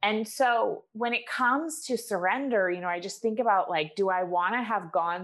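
A woman's ordinary speaking voice, medium in pitch, with an American accent, on a very clean recording with a silent background. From US, Maine. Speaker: author, business coach. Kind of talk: interview.

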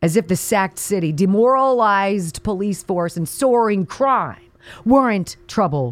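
Angry and animated, a woman speaks at a medium pitch with very wide pitch swings. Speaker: conservative talk radio host. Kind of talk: angry rant. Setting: radio studio. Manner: angry, impassioned; animated, forceful.

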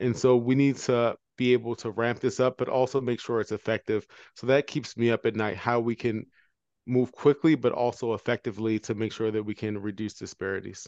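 A man with an American accent and a plain, everyday voice speaks at a fairly quick pace and medium pitch with fairly even intonation, the sound dry and close with no echo over a quiet background. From Baltimore, US. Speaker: anesthesiologist, health equity medical director. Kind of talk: interview.

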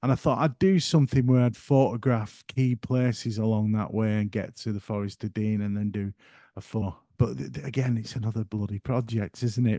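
Delivered at a fairly quick pace with a northern English accent, the voice has a dark, mellow tone, ordinary pitch variation, and a dry, close sound with no echo over a quiet background. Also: man, medium pitch for a man. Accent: broad northern English. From northern England. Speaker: photographer and YouTuber. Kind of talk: casual interview chat.

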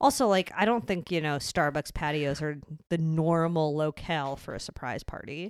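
On a very clean recording with a silent background, a woman speaks in a very deep, low voice. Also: ordinary pitch variation, moderate pace. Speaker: podcast co-host. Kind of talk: casual chat. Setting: studio. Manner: loud.

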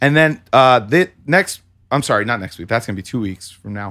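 A man speaks at a moderate pace in a medium pitch, with a bright, sharp tone and lively intonation, on a very clean recording with a silent background. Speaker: podcast co-host and producer. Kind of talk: casual chat. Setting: studio.

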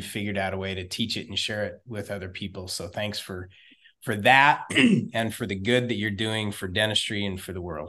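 A man with a Texan accent speaks at a fairly low pitch in a bright, sharp tone. His intonation is fairly even against a quiet background. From Texas. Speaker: podcast host. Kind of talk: interview.

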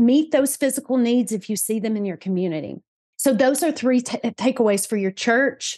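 Against a quiet background, a woman with a Southern US accent talks at a moderate pace, high-pitched and with lively intonation. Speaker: church partnerships manager at a charity. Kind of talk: interview, casual conversational.

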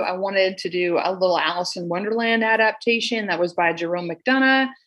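With an American accent, a woman talks at a fairly quick pace with ordinary pitch variation in a plain, everyday voice. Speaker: school administrator, former teacher. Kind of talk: casual interview chat. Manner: conversational, filler-heavy.

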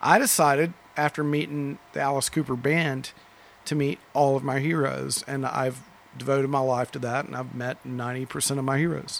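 A man with an American accent and a normal speaking voice, fairly high in pitch, at a moderate pace. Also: fairly even intonation. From Dallas, Texas. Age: 50s. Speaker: record store owner. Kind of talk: casual interview. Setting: record store.

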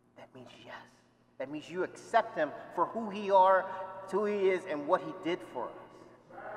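There is noticeable background noise as a man talks at a high pitch with ordinary pitch variation. His loudness swings widely. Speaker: deacon. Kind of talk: homily. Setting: church.

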